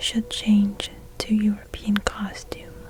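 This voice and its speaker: Whispering in a gentle tone at a very slow pace, a woman can be heard through noticeable background noise. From China. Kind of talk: sleep story, bedtime reading. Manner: soft-spoken, slow, gentle.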